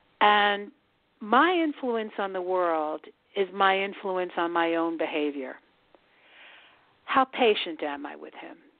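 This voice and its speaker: A woman with an American accent speaks at a medium pitch and a very slow pace, with lively intonation. Her loudness swings widely, and she leaves long, frequent pauses. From US Northeast (Scarsdale, New York). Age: 70s. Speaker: author and prison dance teacher. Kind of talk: interview.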